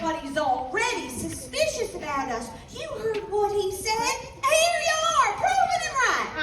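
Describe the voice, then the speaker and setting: Putting on a drawling character voice in a Western US accent, a woman speaks at an extremely high pitch and a moderate pace with hardly any pauses, amid clear echo and loud background noise. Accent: old West rural. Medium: stage play. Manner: folksy country drawl.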